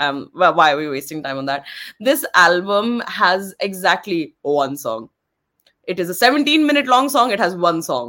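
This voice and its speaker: Bright and sharp in tone, a woman's fairly low voice moves through very wide pitch swings. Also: moderate pace. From India. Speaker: podcast co-host. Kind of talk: casual chat.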